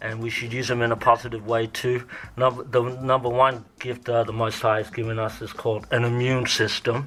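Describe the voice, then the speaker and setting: A man speaks in a monotone, flat delivery at a medium pitch with an Australian accent. His pace is fairly quick, and there is noticeable background noise. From Australia (Melbourne). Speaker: radio host. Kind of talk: interview.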